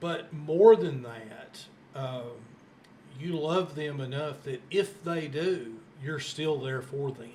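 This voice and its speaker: A man with a fairly high voice speaks at a very slow pace. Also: ordinary pitch variation, big swings in loudness. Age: 60s. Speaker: podcast host. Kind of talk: interview.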